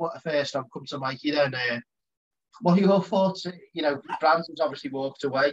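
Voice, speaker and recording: Somewhat breathy, a man speaks at a moderate pace. His pitch varies in an ordinary way. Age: 30s. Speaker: podcast host. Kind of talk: casual chat.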